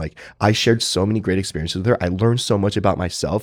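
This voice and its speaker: With an American accent and a very deep, low pitch, a man talks at a very fast pace in a very clean recording with a silent background. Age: 30s. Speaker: lawyer and reality show contestant. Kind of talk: casual chat.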